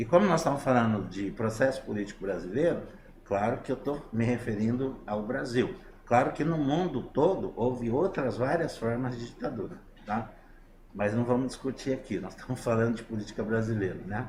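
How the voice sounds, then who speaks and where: A man at medium pitch and moderate pace, with ordinary pitch variation and audible room echo. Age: 60s. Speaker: interviewee on online talk show. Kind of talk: political opinion in online talk show. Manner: halting with many fillers.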